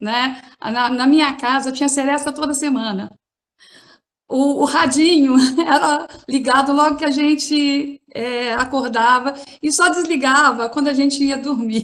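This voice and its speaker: A woman with a São Paulo accent speaks at a fairly slow pace in a high pitch. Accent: São Paulo accent, noticeable. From São Paulo, Brazil. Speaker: occupational therapist. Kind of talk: panel talk.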